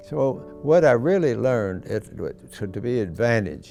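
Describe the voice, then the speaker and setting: Music plays in the background as a man speaks with an American accent. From Kentucky, USA. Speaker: WWII veteran. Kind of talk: interview answer, recalling memories.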